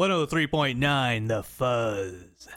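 A man speaks in a put-on character voice at a medium pitch. His intonation is lively. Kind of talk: cheesy radio voice.

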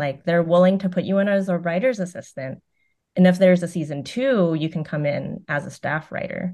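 A woman with an American accent speaks at a fairly quick pace with ordinary pitch variation. Her tone is dark and mellow against a quiet background. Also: fairly low pitch for a woman. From US West Coast, Concord, California. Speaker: television writer. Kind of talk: casual interview.

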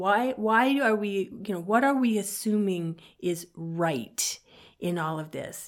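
A woman with an American accent speaks at a very slow pace. Her pitch is medium and her intonation lively. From US, partly Southern California. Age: 60s. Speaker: author and community member. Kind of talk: interview conversation. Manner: halting, with many fillers and repetitions.

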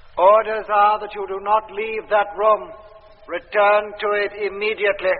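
A man puts on a robotic character voice with a high pitch. He speaks in a monotone with flat intonation at a moderate pace. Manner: expressionless, robotic, commanding.

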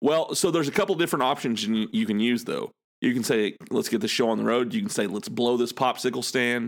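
Speaking at a very fast pace with lively intonation, a man with a medium pitch comes through in a very clean recording with a silent background. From Arkansas. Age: 30s. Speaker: podcaster and dad. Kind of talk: casual chat.

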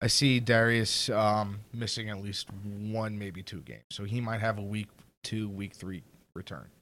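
Fairly slow and with big swings in loudness, a man speaks in an ordinary speaking voice, pitched fairly low, with fairly even intonation. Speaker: guest. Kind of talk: casual chat.

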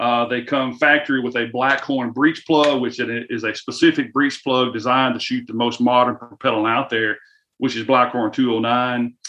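In a Southern US accent, the speaker talks at a moderate pace with a bright, sharp tone. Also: man, medium pitch for a man. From US South. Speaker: firearms company influencer relations manager. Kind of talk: casual interview. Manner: animated, folksy.

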